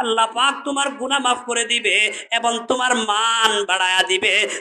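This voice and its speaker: Over noticeable background noise, a man speaks in a raised, projected voice at an extremely high pitch. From Bangladesh, Noakhali. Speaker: Islamic preacher. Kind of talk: sermon. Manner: animated, calls for audience response.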